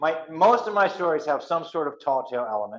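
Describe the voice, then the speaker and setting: A man with an American accent. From West Virginia. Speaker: storyteller and author. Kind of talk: author talk to audience.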